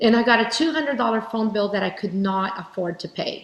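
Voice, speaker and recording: Speaking at a fairly quick pace, a woman has a medium pitch. She talks with a Portuguese accent. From Brazil. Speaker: keynote speaker, direct sales leader. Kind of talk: keynote speech.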